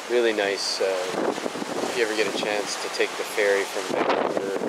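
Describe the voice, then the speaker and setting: Loud noise fills the background. The pace is moderate, and the sound is dry with no echo. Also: man. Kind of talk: casual vlog chat. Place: boat. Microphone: phone near.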